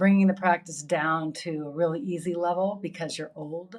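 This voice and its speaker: Recorded very cleanly with a silent background, a woman in a normal speaking voice talks at a moderate pace, her pitch fairly low with ordinary variation. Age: 60s. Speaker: yoga teacher. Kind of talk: interview conversation.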